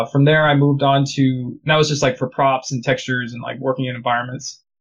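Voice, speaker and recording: Speaking with an American accent, a man has a fairly high pitch and a somewhat breathy voice. He talks at a fairly quick pace with fairly even intonation. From United States. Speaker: game artist and studio founder. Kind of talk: casual interview.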